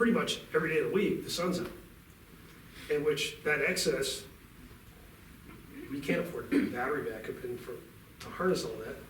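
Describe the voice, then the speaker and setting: A man's fairly quick speech broken by long, frequent pauses, with big swings in loudness and audible room echo. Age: 60s. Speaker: utility company representative. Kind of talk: talk to a club meeting.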